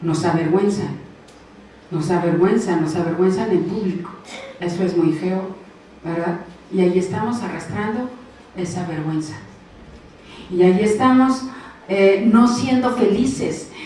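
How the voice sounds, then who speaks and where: With audible room echo and noticeable background noise, a woman speaks at a medium pitch with ordinary pitch variation and long, frequent pauses. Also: fairly slow pace. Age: 60s. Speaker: preacher. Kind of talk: sermon.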